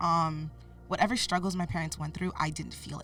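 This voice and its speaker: Music plays in the background while the speech moves fairly quickly. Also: woman. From US (moved from Cameroon via Canada at age 8). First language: French. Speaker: podcast guest, mentor. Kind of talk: interview, personal life story.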